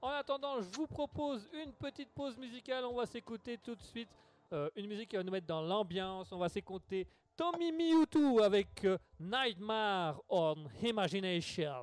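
Moderate pace, very wide pitch swings and big swings in loudness, all in a dry, close sound with no echo. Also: man, high pitch for a man. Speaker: radio host. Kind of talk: casual chat. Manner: halting.

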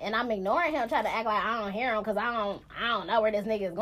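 This is reading aloud in a natural voice. The intonation is fairly even.

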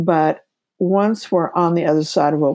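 A woman speaks with an American accent. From Kansas, US Midwest. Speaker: author and near-death experience researcher. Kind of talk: interview testimony. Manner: animated.

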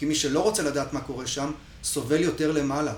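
Fairly high-pitched speech from a man at a very fast pace, amid noticeable background noise and audible room echo. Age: 40s. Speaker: freediver and breath-hold workshop instructor. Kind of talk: podcast interview. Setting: at his home.

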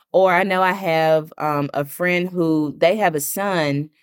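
On a very clean recording with a silent background, a woman uses an unremarkable speaking voice, fairly low in pitch with fairly even intonation. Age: 30s. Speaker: podcast host and author. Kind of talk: casual solo podcast monologue.

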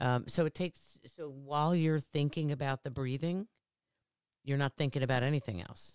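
Dry and close with no echo, a woman's very deep, low voice moves at a moderate pace with ordinary pitch variation. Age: 60s. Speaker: podcast guest, mother and business owner. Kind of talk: casual chat.

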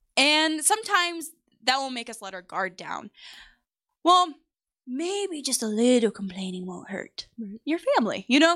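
At a moderate pace, a woman raises and projects her high-pitched, bright, sharp voice, with very wide pitch swings, big swings in loudness and long, frequent pauses. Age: 20s. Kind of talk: casual chat.

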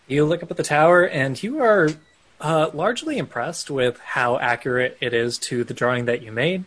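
A man with an unremarkable speaking voice talks in a fairly high pitch with lively intonation. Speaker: game master running a tabletop role-playing game. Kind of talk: dramatic narration of a fantasy scene, read in a hushed, storytelling tone. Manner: vivid, deliberate descriptive narration with building suspense.

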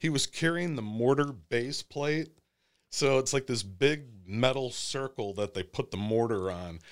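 On a very clean recording with a silent background, a man with an American accent and a plain, everyday voice speaks at a medium pitch, fairly slowly, with lively intonation. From Monroe, Michigan. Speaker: attorney and army veteran. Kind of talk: casual chat. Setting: studio.

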